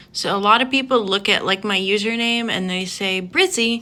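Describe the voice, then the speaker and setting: The voice has a bright, sharp tone with an American accent. Its pitch varies in an ordinary way. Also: woman. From US South (Georgia). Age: 20s. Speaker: beauty vlogger. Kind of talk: casual get-ready-with-me vlog.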